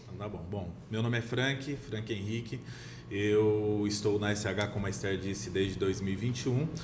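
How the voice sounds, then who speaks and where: Audible room echo and noticeable background noise surround a man's fairly low voice. He talks at a moderate pace with ordinary pitch variation. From Minas Gerais, Brazil. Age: 30s. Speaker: real estate sales director. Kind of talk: podcast interview.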